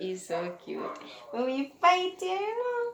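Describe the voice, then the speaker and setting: A woman speaks with a Jamaican accent. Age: 20s. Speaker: podcaster. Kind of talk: casual chat. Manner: soft-spoken.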